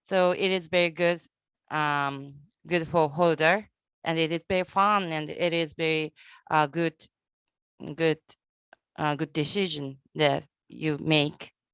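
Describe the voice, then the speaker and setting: On a very clean, dry and close recording with no echo and a silent background, a woman with a Japanese accent speaks fairly slowly in a very deep, low pitch, with fairly even intonation and long, frequent pauses. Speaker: conference moderator. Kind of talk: casual chat. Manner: halting.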